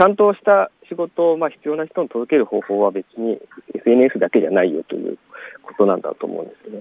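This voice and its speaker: Moving at a fairly quick pace, a man talks with big swings in loudness. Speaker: work-creation organizer and part-time farmer. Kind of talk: interview. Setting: outdoors in a plum orchard.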